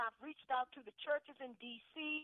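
In a dry, close sound with no echo, a woman with an American accent talks at a moderate pace in a high pitch with fairly even intonation.

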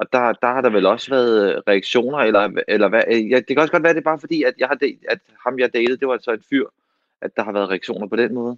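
Pitch rises and falls in an ordinary way. The delivery races along at a very fast pace. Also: man, medium pitch for a man. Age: 30s. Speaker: actor, co-host. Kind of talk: casual chat. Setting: home, remote. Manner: halting.

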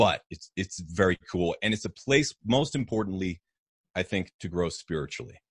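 Somewhat breathy and very deep, a man's voice with an American accent moves with lively intonation in a dry, close sound with no echo. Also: moderate pace. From New Hampshire, US. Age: 30s. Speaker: health podcaster and musician. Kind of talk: casual interview chat.

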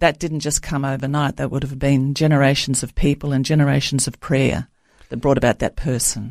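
A woman with an Australian accent speaks at a fairly quick pace and a very deep, low pitch, with monotone, flat intonation. The recording is very clean with a silent background. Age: 70s. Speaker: author. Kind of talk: interview. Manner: halting, many fillers.

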